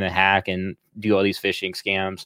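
Against a quiet background, a man with an Oklahoman accent speaks at a fairly low pitch. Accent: Oklahoman, slight Southern. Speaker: podcast co-host. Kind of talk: casual chat.

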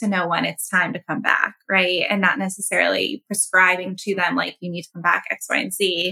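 This woman has an ordinary speaking voice, pitched at a medium level, with fairly even intonation. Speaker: podcast co-host. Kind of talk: podcast interview.

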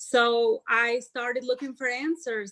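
A woman with an Albanian accent speaks at a moderate pace, her fairly high pitch held to fairly even intonation. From Albania (Tirana). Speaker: motivational speaker and life coach. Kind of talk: podcast interview.

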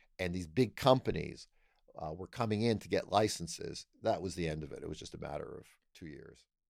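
A man's ordinary speaking voice with a Canadian accent, on a very clean recording with a silent background. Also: big swings in loudness. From Canada, Toronto. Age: 60s. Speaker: retired law professor and constitutional lawyer. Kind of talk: interview conversation.

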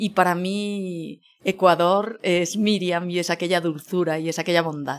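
A woman with an ordinary speaking voice, fairly low in pitch, at a fairly slow pace. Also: fairly even intonation. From Spain, Barcelona. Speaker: food journalist. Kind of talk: interview conversation.

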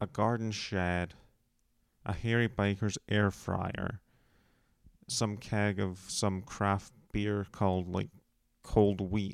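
At a very slow pace with long, frequent pauses, a man speaks at a fairly low pitch. His intonation is monotone and flat, in a very clean recording with a silent background. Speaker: podcast host. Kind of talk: casual monologue. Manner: quieter than usual.

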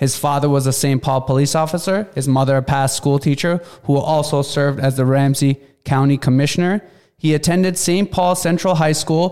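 An ordinary speaking voice from a man with an American accent, fairly high in pitch, at a fairly quick pace, with very even loudness and fairly even intonation. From Minneapolis, Minnesota. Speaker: podcast host. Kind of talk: scripted intro; interview.

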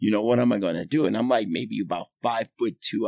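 Vocal fry and lively intonation from a man with an American accent, recorded dry and close with no echo. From New York City (Manhattan). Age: 50s. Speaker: swim coach. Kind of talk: casual chat.

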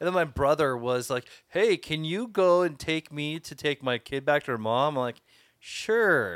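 A man with a plain, everyday voice speaks at a moderate pace and a fairly high pitch. The recording is very clean with a silent background, dry and close with no echo. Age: 40s. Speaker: podcast co-host. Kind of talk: casual chat.

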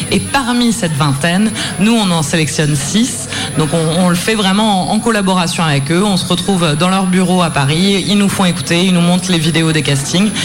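Over music in the background, a woman with a fairly low pitch speaks at a moderate pace in an enthusiastic, excited tone with ordinary pitch variation. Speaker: festival programmer. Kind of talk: interview in live radio. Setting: live studio.

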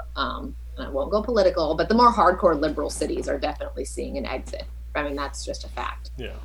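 Amid audible room echo, a woman with an American accent talks at a very fast pace with big swings in loudness. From Southern California. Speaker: overlanding adventurer. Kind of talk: casual chat.

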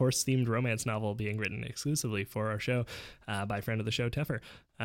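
The intonation stays fairly even throughout. It comes from a natural reading voice.

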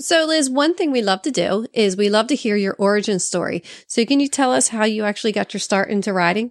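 With a normal speaking voice, a woman talks at a fairly quick pace and fairly high pitch, with lively intonation and hardly any pauses, in a dry, close sound with no echo and a quiet background. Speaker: podcast co-host.

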